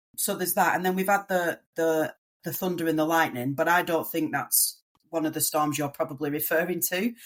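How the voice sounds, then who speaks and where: A woman with a strong English accent, a fairly low pitch, fairly even intonation and a fairly quick pace. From northern England, near Manchester. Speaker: migrant to Australia. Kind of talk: podcast interview.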